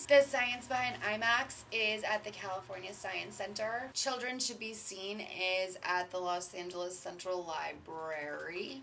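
A woman speaks at a fairly slow pace, with light background noise behind her. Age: 20s. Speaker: vlogger. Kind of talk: casual vlog monologue. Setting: in her bathtub. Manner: animated. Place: bathroom. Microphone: webcam.

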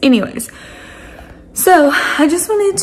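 A woman speaks with a slightly mellow tone. Her pitch varies in an ordinary way.

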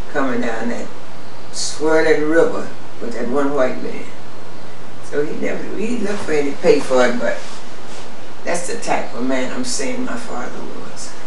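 With an American accent and very wide pitch swings, the speaker talks at a moderate pace amid noticeable background noise and audible room echo. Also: woman. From Rosenberg, Texas, USA. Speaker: storyteller recalling family history. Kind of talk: oral history interview answer. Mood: calm, proud reminiscing. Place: home room.

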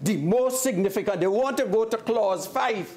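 This is a man's voice. He speaks at a moderate pace. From Trinidad and Tobago. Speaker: opposition member of parliament. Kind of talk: parliamentary debate speech. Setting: parliament chamber. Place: hall.

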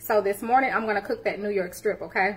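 Ordinary pitch variation in a woman's voice. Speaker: home cooking livestream host. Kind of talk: casual cooking livestream chat. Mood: cheerful, laughing. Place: kitchen. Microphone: phone near.

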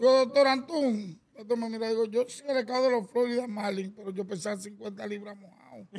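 Speaking at a moderate pace with hardly any pauses, a man uses a high pitch with ordinary pitch variation and big swings in loudness. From Dominican Republic. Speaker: baseball executive and former player; podcast guest. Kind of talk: casual chat. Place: studio. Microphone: studio mic.

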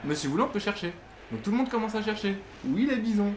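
A man speaks with a strong French accent over noticeable background noise. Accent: thick French accent in English. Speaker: YouTuber and basketball fan; gaming channel host. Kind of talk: casual chat. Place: home room.

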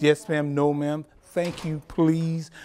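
The speaker is a man with a dark, mellow tone. He keeps to a moderate pace. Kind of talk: interview answer. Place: office.

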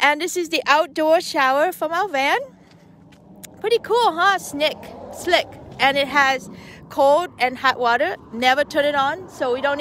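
A woman speaks in a high pitch with lively intonation at a moderate pace. The sound is dry with no echo, with light background noise. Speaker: van-life vlogger. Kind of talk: casual vlog chat. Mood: cheerful, playful. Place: open country. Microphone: phone near.

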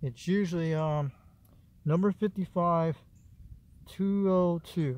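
A man's voice comes across dry, with no echo. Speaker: hobbyist radio antenna builder. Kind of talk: casual how-to tutorial. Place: garden. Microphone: phone near.

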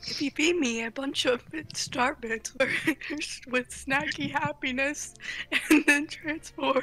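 Music plays in the background as a female-sounding voice does a put-on character voice, high-pitched and whiny. The sad, whiny tone comes at a fairly slow pace. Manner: sad, whiny, famished.

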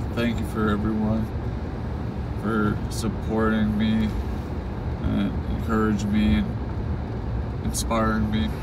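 Words come at a very slow pace, broken by long, frequent pauses, over loud background noise. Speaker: driver vlogger. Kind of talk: casual vlog chat. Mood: reflective, grateful. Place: car. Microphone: phone near.

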